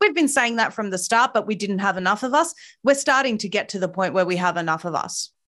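In an Australian accent, a woman with a medium pitch talks at a very fast pace, her intonation lively and her tone bright and sharp, on a very clean recording with a silent background. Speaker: activist commentator. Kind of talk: interview. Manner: impassioned.

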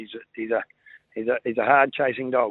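This man has an Australian accent and a medium pitch. He talks at a fairly quick pace with fairly even intonation. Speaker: greyhound trainer. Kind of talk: casual chat.

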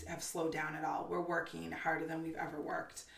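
Amid noticeable background noise and audible room echo, a woman with an American accent speaks at a fairly quick pace. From Massachusetts, north of Boston. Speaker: Instagram creator and mother. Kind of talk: casual interview.

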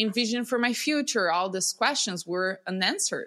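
A woman talks with a Portuguese accent at a moderate pace. Her tone is bright and sharp, with ordinary pitch variation. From Brazil. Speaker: breathwork coach. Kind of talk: casual interview. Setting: video call.

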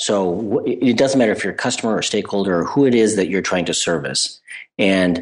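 A man speaks at a fairly quick pace in a fairly low voice with ordinary pitch variation against a quiet background. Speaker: podcast guest, agile coach. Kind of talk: conversational, professional.

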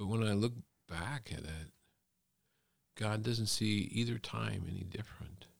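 Pausing long and often, a man with an American accent talks in a fairly low voice with ordinary pitch variation. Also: fairly slow pace. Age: 60s. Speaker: college professor and pastor. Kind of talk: casual interview. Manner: relaxed, hesitant with fillers.

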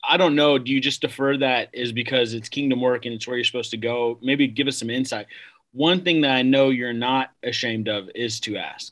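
A man with an ordinary speaking voice talks fairly quickly at a medium pitch, his intonation fairly even. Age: young. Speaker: podcast host and pastor. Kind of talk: casual interview.

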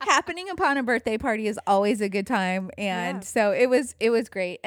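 This put-on character voice is raspy and moves at a fairly quick pace. The sound is dry and close, with no echo. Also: woman, fairly high pitch for a woman. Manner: yelling, loud.

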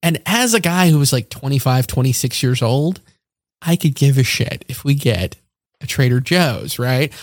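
Somewhat breathy, this voice has an American accent and lively intonation. The pace is moderate. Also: man, fairly high pitch for a man. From US, North Carolina-born military kid. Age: 30s. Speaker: journalist. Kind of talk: casual interview conversation.

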